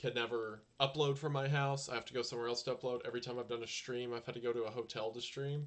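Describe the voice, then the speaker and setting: A soft-spoken man talks at a very fast pace with medium pitch. His intonation is monotone and flat. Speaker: YouTuber streaming live. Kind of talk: casual live stream chat. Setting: home live stream. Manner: quiet, soft-spoken.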